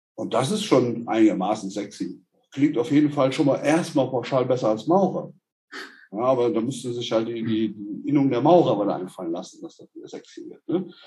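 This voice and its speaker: A man at medium pitch talks at a fairly quick pace with a dark, mellow, somewhat breathy tone, lively intonation and big swings in loudness. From Germany, Hesse. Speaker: orthotics company founder. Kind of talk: casual chat.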